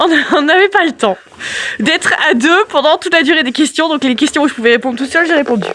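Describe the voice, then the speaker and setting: A woman with a high pitch speaks over noticeable background noise. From France, Yonne near Auxerre. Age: 30s. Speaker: goat farmer. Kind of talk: casual Q&A chat. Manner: talkative, explains at length.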